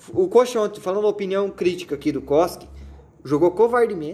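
At a moderate pace, a man with a high pitch and a dark, mellow tone speaks with lively intonation. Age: 20s. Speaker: podcast host. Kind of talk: casual comedic chat.

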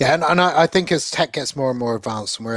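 An unremarkable speaking voice from a man at medium pitch, with ordinary pitch variation and a dry, close sound with no echo. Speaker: podcast host. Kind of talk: casual chat.

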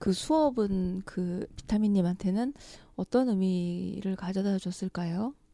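A woman talks at a very slow pace, her pitch medium with ordinary variation. Her tone is dark and mellow. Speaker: podcast host. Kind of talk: casual chat, interview.

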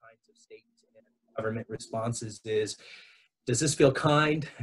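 A man speaks in a somewhat breathy voice. His intonation stays fairly even. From Southern California. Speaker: education director and educator. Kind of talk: interview conversation.

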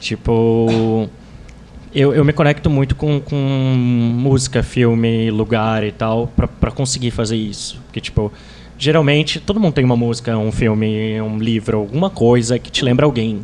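Here is a man with an unremarkable speaking voice and a medium pitch. He talks at a moderate pace with ordinary pitch variation. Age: 20s. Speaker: writer on relationships. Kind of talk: casual chat.

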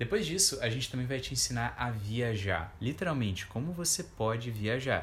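With lively intonation and a plain, everyday voice, a man speaks at a moderate pace. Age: 20s. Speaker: podcast co-host, coach. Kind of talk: casual chat.

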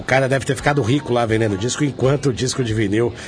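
Amid noticeable background noise, a man speaks with ordinary pitch variation. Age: 40s. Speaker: radio host. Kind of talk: radio show interview.

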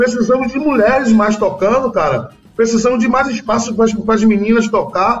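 A man talks at a moderate pace with a high pitch and fairly even intonation. Noticeable background noise runs underneath. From Bahia, Brazil. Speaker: singer-songwriter. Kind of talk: interview.

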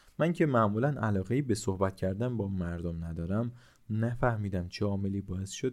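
The pitch varies in an ordinary way as the text is read aloud plainly.

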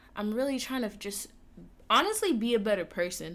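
A woman with an American accent and a plain, everyday voice talks at a fairly quick pace with lively intonation. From Atlanta, US South. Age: 20s. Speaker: podcast host and gaming streamer. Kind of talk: casual monologue.

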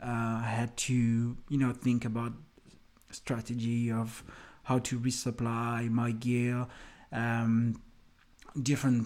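A man talks with a French accent. His pitch sits in the medium range. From France. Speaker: hiking podcaster. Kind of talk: solo podcast monologue. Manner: halting, many fillers.

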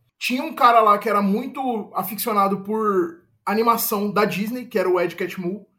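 A man with a high pitch uses a raised, projected voice with a bright, sharp tone. He keeps a moderate pace and ordinary pitch variation. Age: 20s. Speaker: advertising professional. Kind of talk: casual chat. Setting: video call.

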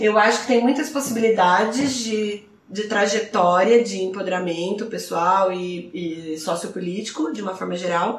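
A woman's medium-pitched voice at a moderate pace, ordinary pitch variation, hardly any pauses, noticeable background noise and audible room echo. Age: 30s. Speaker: podcast guest. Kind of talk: casual chat.

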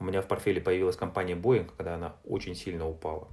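The speaker is a man. There is a somewhat breathy quality to his voice. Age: 40s. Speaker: entrepreneur and publisher. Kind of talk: interview. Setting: remote call.

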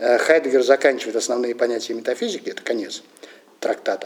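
Noticeable background noise surrounds a man as he talks. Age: old. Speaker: philosophy lecturer. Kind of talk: lecture. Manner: halting, many filler sounds.

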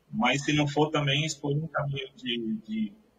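Fairly high in pitch, a man with a plain, everyday voice talks at a moderate pace with ordinary pitch variation. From São Vicente, Baixada Santista, Brazil. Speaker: IT professional. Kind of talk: interview.

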